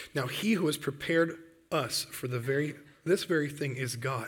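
Somewhat breathy, a man with an American accent speaks at a fairly high pitch with ordinary pitch variation. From Michigan, US Midwest. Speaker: Bible camp director, guest preacher. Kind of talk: sermon. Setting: church.

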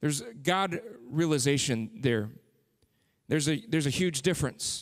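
With an American accent, a man speaks in an animated tone at a moderate pace. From Texas (San Antonio). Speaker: pastor. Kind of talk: sermon. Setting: church.

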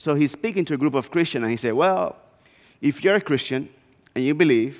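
Lively intonation marks this man's speech, in a medium pitch. He talks with a Spanish accent. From Dominican Republic, small northeastern town. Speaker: guest preacher, missions executive. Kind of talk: sermon.

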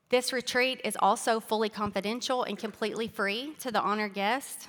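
With a Southern US accent, a woman talks at a moderate pace in a fairly high voice with ordinary pitch variation. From Arkansas. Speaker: speaker sharing testimony. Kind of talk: testimony. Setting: church.

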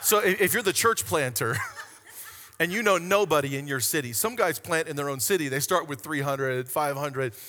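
A man at a fairly high pitch with lively intonation and a moderate pace, over noticeable background noise. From Hawaii. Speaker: pastor. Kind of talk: sermon. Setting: church stage with congregation.

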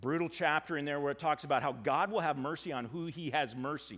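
Speaking with an American accent, a man uses a fairly high pitch and ordinary pitch variation. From United States. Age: 50s. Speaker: pastor. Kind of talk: sermon. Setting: church. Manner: halting.

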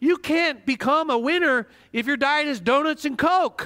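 The voice is raised and projected, with a bright, sharp tone. It moves at a fairly slow pace in a very clean recording with a silent background. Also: man. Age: 50s. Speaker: pastor. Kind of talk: sermon.

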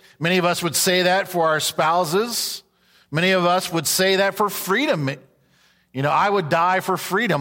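A raised, projected voice with a bright, sharp tone speaks in a Southern US accent with ordinary pitch variation. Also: man. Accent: Southern American. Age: 50s. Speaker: pastor. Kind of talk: sermon. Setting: church.

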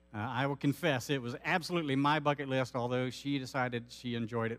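Here a man is speaking. His tone is fairly bright and his pace fairly quick.

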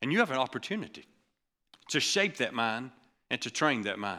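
With vocal fry and a bright, sharp, animated tone, a man talks at a medium pitch and moderate pace with very wide pitch swings, on a very clean recording with a silent background. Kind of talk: sermon. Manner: animated, punchy preaching with call-and-response; urgent, exhortative, repeating phrases for emphasis.

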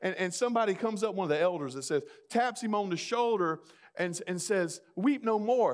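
A man with a Southern US accent speaks at a moderate pace and a high pitch with lively intonation, in a very clean recording with a silent background. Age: 40s. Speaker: pastor. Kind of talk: sermon.

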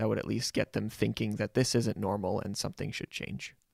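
Recorded very cleanly against a silent background, a man talks at a moderate pace in a dry, close sound with no echo. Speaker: podcast co-host. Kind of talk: casual chat.

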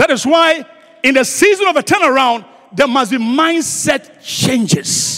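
A man with an extremely high-pitched voice speaks at a fairly slow pace, raised and projected. His tone is animated and his intonation lively, with noticeable background noise behind him. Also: very even loudness. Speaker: guest preacher. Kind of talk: sermon. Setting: church. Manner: animated, repetitive call-and-response preaching; rhetorical, emphatic repetition.

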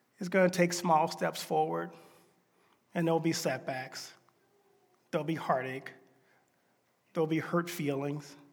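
Speaking at a moderate pace with long, frequent pauses, a man with an American accent uses a fairly high pitch and fairly even intonation amid audible room echo. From US South. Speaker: pastor. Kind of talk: sermon.

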